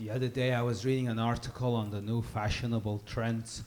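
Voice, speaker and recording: With an Iranian accent, a man speaks in a monotone, flat intonation. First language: Persian. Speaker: comedian. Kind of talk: stand-up.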